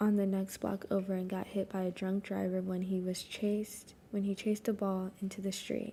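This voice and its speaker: A woman whispering quietly, somewhat breathy, at a moderate pace. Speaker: streamer. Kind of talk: reading aloud. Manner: alternating whisper and quiet voice.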